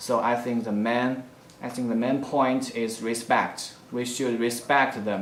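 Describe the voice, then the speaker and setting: Amid noticeable background noise and audible room echo, a man with a Chinese accent speaks at a medium pitch and a fairly slow pace in a flat monotone. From China. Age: young. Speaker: university student applicant. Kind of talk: self-introduction video answering application questions. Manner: halting, with frequent fillers.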